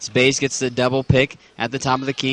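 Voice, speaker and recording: Noticeable background noise sits behind a man speaking at a fairly high pitch and a moderate pace. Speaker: sports play-by-play announcer. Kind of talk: live basketball play-by-play commentary.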